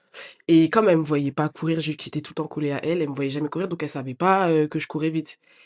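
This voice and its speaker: At a very fast pace with hardly any pauses, a woman talks in a very deep, low pitch with fairly even intonation, the sound dry and close with no echo. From France, Paris region (Yvelines). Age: 20s. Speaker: sprinter. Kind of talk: podcast interview. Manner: casual, hesitant with fillers.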